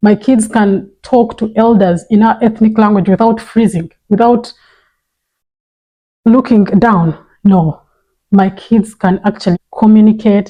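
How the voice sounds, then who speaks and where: Speaking in a Ugandan accent, a woman with a fairly high pitch and a dark, mellow, somewhat breathy tone moves at a fairly slow pace, with long, frequent pauses, very even loudness and fairly even intonation. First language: Runyankore Ruchiga. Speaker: parenting vlogger. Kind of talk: vlog monologue.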